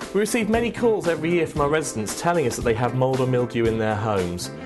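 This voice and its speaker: An upbeat man with very wide pitch swings over music in the background. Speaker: presenter; actor, voice actor. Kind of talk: corporate informational presentation. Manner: upbeat, friendly.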